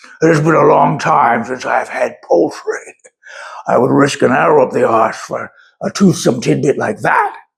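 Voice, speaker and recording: A man's put-on character voice at a moderate pace. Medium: read story. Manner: gruff, rude, irritable.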